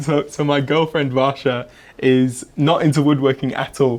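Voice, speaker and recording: A man talks in an English accent. His pitch is fairly high. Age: 20s. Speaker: woodworker and furniture maker. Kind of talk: interview.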